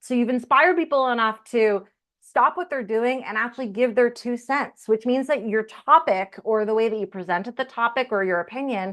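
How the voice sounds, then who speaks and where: Against a quiet background, a woman with an unremarkable speaking voice talks at a fairly high pitch and a moderate pace, with ordinary pitch variation. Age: 30s. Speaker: content creator teaching a masterclass. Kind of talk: online masterclass. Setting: video call.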